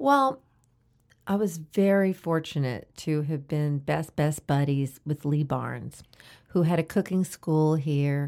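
The voice has a dark, mellow tone and ordinary pitch variation, moving at a fairly slow pace in a very clean recording with a silent background. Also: woman. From New Orleans, Louisiana. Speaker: radio host and food educator. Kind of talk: interview. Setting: studio.

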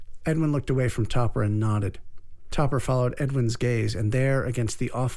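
Someone reads the text aloud in a natural voice.

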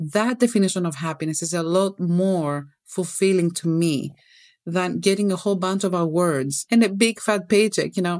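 Ordinary pitch variation, with a Greek accent. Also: woman, medium pitch for a woman, moderate pace. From Greece. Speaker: toxicologist and wellness coach. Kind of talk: interview conversation. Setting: video call. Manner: animated.

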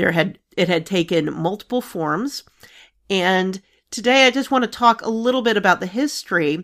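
A woman speaks in an ordinary speaking voice at a moderate pace. The recording is very clean, with a silent background. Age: 40s. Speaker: actuary podcast host. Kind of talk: solo explainer talk.

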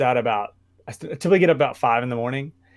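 A man with a Southern US accent talks with ordinary pitch variation. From Arkansas, US South. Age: 30s. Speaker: personal trainer. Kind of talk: casual chat.

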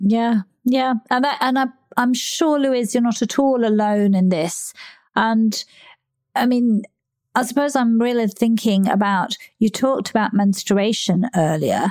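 In a normal speaking voice, a woman speaks at a fairly slow pace with a fairly high pitch, ordinary pitch variation, and very even loudness. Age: 60s. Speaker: podcast host and menopause coach. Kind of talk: interview conversation.

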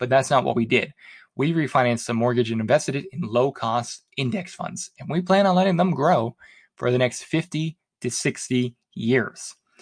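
A man's medium-pitched, somewhat breathy voice with lively intonation at a moderate pace, dry and close with no echo, over a quiet background. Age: 30s. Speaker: personal finance podcast host. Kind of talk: solo podcast monologue.

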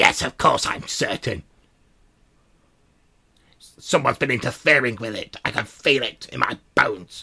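Using a raspy, put-on character voice at a medium pitch, a man speaks with big swings in loudness and long, frequent pauses. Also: moderate pace. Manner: firm, sure of herself.

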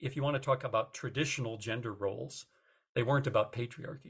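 A somewhat breathy man with an American accent, on a very clean recording with a silent background. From United States. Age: 60s. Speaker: retired journalism professor. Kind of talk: interview.

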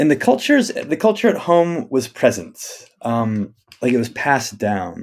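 Using very wide pitch swings, a man with an American accent and fairly high pitch speaks at a moderate pace. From US Northwest (Spokane, Washington). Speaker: rabbi and nature-based educator. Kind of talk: interview conversation. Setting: office in the forest.

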